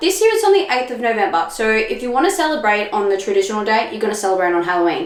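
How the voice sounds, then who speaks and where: Over noticeable background noise, a woman with an Australian accent speaks in an animated tone, her fairly high pitch swinging very widely. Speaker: spiritual podcaster. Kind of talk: solo podcast talk.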